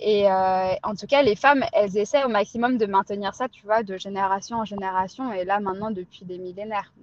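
A woman's medium-pitched, an unremarkable speaking voice, fairly quick with hardly any pauses, ordinary pitch variation and big swings in loudness. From Pondicherry, India. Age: 30s. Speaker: cosmetics brand founder. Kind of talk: testimony.

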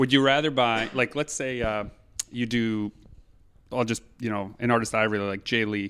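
A man talks in an ordinary speaking voice at a moderate pace, his intonation fairly even. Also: medium pitch for a man. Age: 40s. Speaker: podcast host. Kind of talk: casual chat.

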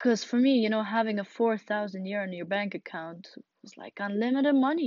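Delivered at a fairly quick pace in a Russian accent, the speech swings widely in loudness while its pitch varies in an ordinary way. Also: woman, fairly high pitch for a woman. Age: young. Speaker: podcaster. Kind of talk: casual monologue. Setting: home closet.

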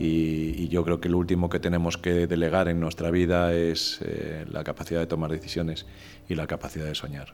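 A man's very deep, low voice, monotone and flat, at a moderate pace over music in the background. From Spain, Madrid. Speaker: former corporate executive and communicator. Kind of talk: podcast interview.

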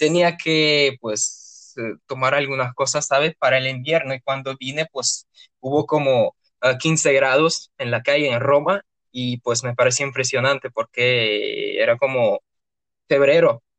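A man at a very slow pace, fairly even in intonation, with a dry, close sound and no echo. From Russia, Orenburg. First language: Russian (speaking Spanish). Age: 20s. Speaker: university student. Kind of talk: interview. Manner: hesitant, many fillers.

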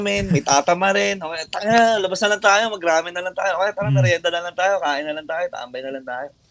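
A man at a high pitch, talking at a very fast pace. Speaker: metal band vocalist. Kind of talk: casual interview chat.

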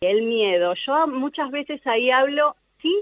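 Speaking at a very slow pace, a woman makes very wide pitch swings. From Argentina. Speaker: life coach. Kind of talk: radio interview.

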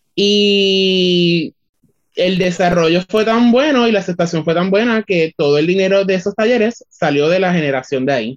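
High-pitched and moderate in pace, a man is talking. The pitch swings very widely. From Puerto Rico, Utuado. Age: 20s. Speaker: communications student and artist. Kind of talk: interview.

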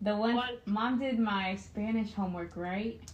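Over noticeable background noise and audible room echo, a woman speaks at medium pitch with fairly even intonation. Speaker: host's daughter. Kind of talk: casual chat.

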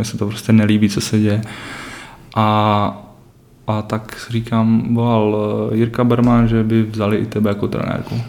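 A man's fairly low voice, flat and monotone, at a fairly slow pace with long, frequent pauses over noticeable background noise. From Czech Republic, Třinec (northern Moravia/Silesia). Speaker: youth ice hockey coach. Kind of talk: podcast interview.

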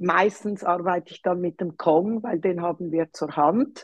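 A woman's medium-pitched voice, an unremarkable speaking voice, fairly slow and fairly even in intonation, with a dry, close sound and no echo. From Switzerland, Zurich. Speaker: dog trainer. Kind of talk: interview.

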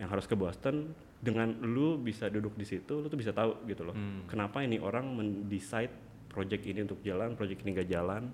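Very fast speech from a man, his pitch varying in an ordinary way. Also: fairly low pitch for a man. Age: young. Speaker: business executive. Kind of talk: casual chat.

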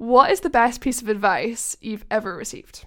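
In a very clean recording with a silent background, a woman with a plain, everyday voice speaks at a fairly high pitch. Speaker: guest interviewer. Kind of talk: casual chat.

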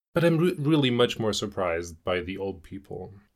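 A man with a German accent speaks at a moderate pace on a very clean recording with a silent background. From Germany (rural). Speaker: podcast guest, host's boyfriend. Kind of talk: casual chat. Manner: careful.

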